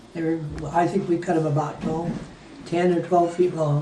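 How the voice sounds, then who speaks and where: A man talks at a moderate pace in a high voice. Audible room echo and noticeable background noise surround him. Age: 80s+. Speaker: war veteran. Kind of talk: storytelling. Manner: halting.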